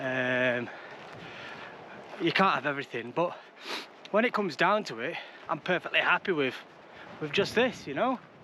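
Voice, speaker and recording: A man with an English accent, very wide pitch swings and long, frequent pauses, amid noticeable background noise. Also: fairly high pitch for a man, moderate pace. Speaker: travel vlogger. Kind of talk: casual vlog narration. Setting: outdoors. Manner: hesitant, many ums.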